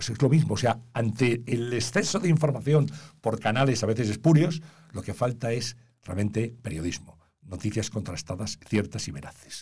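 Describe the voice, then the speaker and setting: A somewhat breathy man's voice of medium pitch, with lively intonation and a moderate pace. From Spain, Valladolid. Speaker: journalist and consultant. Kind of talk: interview.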